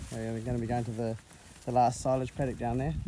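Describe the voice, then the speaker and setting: A man talking at a very fast pace, dry with no echo, over noticeable background noise. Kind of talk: casual vlog chat. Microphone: phone near.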